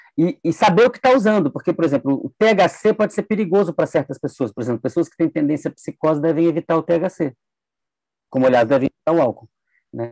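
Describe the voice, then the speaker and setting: A man talks very fast in a high-pitched voice, his loudness swinging widely. The sound is dry and close, with no echo. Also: lively intonation. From Brasília, Brazil. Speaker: neuroscientist. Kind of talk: interview conversation.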